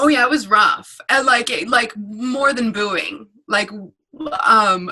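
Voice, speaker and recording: Speaking very slowly, a woman has a high pitch and an American accent. Her pitch varies in an ordinary way. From North Carolina. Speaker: stand-up comedian. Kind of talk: casual interview.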